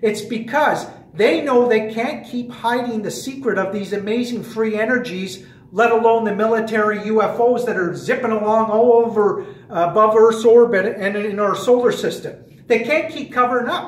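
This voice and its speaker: At a moderate pace, a man talks with an extremely high pitch and ordinary pitch variation, with noticeable background noise and audible room echo. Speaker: fitness trainer and conspiracy vlogger. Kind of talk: casual monologue vlog. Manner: animated.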